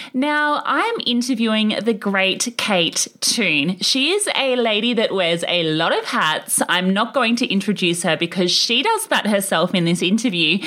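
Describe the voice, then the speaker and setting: Noticeable background noise sits behind a woman with a fairly high pitch and lively intonation. She speaks with very even loudness and hardly any pauses. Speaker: podcast host. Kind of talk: podcast interview, casual chat.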